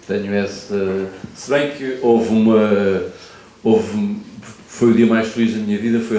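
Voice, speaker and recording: Against noticeable background noise and audible room echo, a man talks at a fairly slow pace in a fairly low pitch. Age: 60s. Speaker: photojournalist and author. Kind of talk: panel talk at literary festival.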